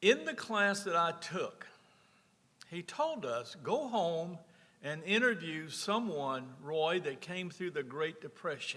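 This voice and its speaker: Speech in a Louisiana accent comes at a very slow pace, with a bright, sharp tone and lively intonation. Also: man, high pitch for a man. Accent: Southern US (Louisiana). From rural north Louisiana. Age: 70s. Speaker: former state senator. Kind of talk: personal storytelling at a conference.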